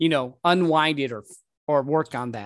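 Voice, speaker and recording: A man with a normal speaking voice talks at a moderate tempo. His pitch is fairly high, with ordinary pitch variation. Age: 40s. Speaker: podcast host. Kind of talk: casual interview chat.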